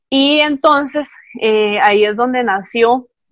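A woman speaks in an ordinary speaking voice with fairly high pitch and ordinary pitch variation. The sound is dry and close, with no echo. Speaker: podcast co-host. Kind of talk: casual chat.

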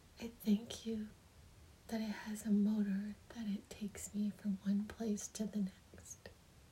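The voice has a gentle, soothing tone and a fairly slow pace. Noticeable background noise runs underneath. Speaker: meditation guide leading prayer. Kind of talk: guided meditation and prayer, spoken as gratitude addressed to the divine. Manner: gentle, reverent, soothing, repetitive cadence.

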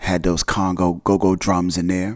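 In an American accent, a man with a dark, mellow tone speaks at a moderate pace on a very clean recording with a silent background. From North Jersey, US. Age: 50s. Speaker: podcast host. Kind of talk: casual monologue. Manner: animated.

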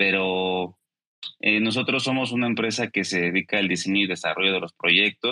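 In a dry, close sound with no echo, a man uses a normal speaking voice with a fairly low pitch, a moderate pace and fairly even intonation. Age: 30s. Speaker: esports company executive. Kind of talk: interview.

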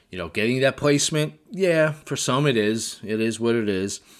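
An ordinary speaking voice from a man, with lively intonation and a fairly slow pace, on a very clean recording with a silent background. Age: 50s. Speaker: bodybuilding coach. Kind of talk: solo podcast monologue.

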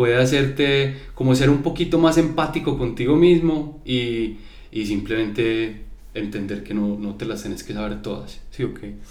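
Speaking at a moderate pace and a medium pitch, a man shows ordinary pitch variation and big swings in loudness, with audible room echo around him. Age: 30s. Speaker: creative agency founder. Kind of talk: casual chat. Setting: studio.

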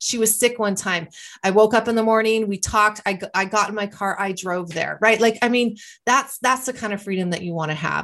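At a fairly quick pace, a woman with a fairly high pitch and ordinary pitch variation talks in an ordinary speaking voice over a quiet background. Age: 50s. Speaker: wellness podcast host. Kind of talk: motivational monologue.

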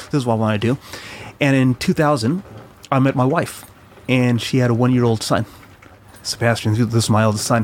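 A man with an American accent talks at a fairly quick pace, with medium pitch, ordinary pitch variation and very even loudness. His speech has long, frequent pauses over noticeable background noise. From Chile, raised in the US. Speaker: immigrant father living in New Zealand. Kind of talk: casual chat. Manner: halting.

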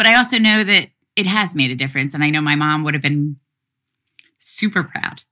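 A woman with a very deep, low pitch and a bright, sharp tone talks at a fairly quick pace with lively intonation, leaving long, frequent pauses. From US, Philadelphia. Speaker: activist. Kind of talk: interview.

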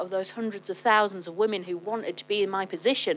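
At a moderate pace, a woman speaks with medium pitch and fairly even intonation in an ordinary speaking voice. The background is quiet. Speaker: wellness studio founder. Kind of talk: casual chat.

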